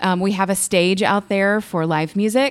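A woman speaks with an American accent. Her pitch sits in the medium range. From Houston, Texas until age twelve. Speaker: business owner and insurance broker. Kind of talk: casual chat. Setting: on location at her business. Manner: hesitant with many fillers.

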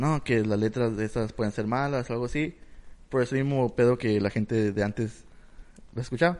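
Fairly quick speech comes from a man with a medium pitch. He has an unremarkable speaking voice with ordinary pitch variation. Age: 20s. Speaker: podcast co-host. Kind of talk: casual chat.

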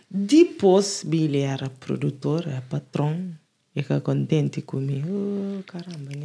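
This woman's voice sits very deep and low, with a dark, mellow tone and a somewhat breathy quality. She talks at a very slow pace, using ordinary pitch variation. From Lisbon area, Cova da Moura / Alfragide. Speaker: music producer and singer. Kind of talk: casual chat.

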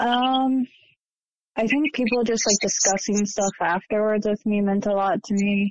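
In an American accent, a woman with a fairly high pitch and an unremarkable speaking voice speaks at a fairly slow pace, with very even loudness and fairly even intonation. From Ohio, US Midwest. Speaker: former church member. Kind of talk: testimony.

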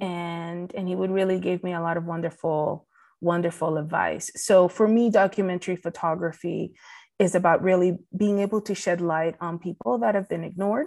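Against a quiet background, a woman with a Spanish accent speaks in a fairly low pitch with fairly even intonation. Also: moderate pace. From Puerto Rico. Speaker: documentary photographer. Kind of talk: interview.

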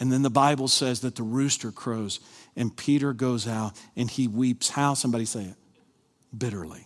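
A man speaks in a Kentucky accent at medium pitch. The recording is very clean, with a silent background. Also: fairly even intonation, moderate pace. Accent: Southern US (Kentucky). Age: 50s. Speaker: pastor. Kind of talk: sermon. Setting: church with live congregation.

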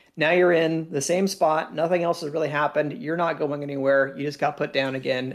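The speech runs with hardly any pauses and fairly even intonation. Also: man, fairly high pitch for a man. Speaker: podcast co-host, laser tag commentator. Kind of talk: casual chat with game footage breakdown. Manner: talkative.

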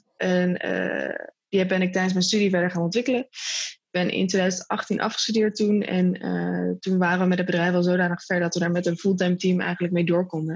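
A woman's somewhat breathy, medium-pitched voice at a fairly quick pace, in a monotone, flat intonation. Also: hardly any pauses, very even loudness. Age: 20s. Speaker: social entrepreneur. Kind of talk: interview.

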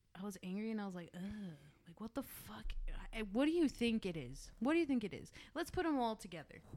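A very fast woman's voice with an American accent, fairly high in pitch, with a dark, mellow tone, very wide pitch swings and big swings in loudness. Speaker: podcast co-host. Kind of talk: casual banter podcast, with an angry rant near 27:15.

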